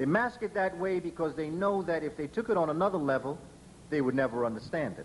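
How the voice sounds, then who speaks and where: Speaking at a very fast pace, a man uses a fairly high pitch, an animated tone and lively intonation. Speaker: lecturer on African history and education. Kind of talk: lecture to an audience. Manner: animated, oratorical.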